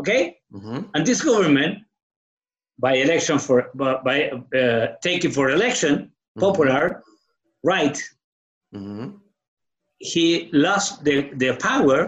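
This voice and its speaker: Speaking in a strong Chilean accent, a man with a fairly high pitch and lively intonation keeps a moderate pace broken by long, frequent pauses. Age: 60s. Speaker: guest telling his story. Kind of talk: casual conversation, interview. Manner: halting, struggles with English.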